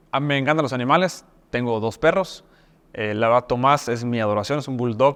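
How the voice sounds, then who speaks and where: A man with a Mexican accent talks at a fairly quick pace, his medium pitch showing ordinary pitch variation. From Mexico, Mexico City and Yucatán. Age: 30s. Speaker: university rector. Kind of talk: talk-style self introduction. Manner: hesitant fillers (eh).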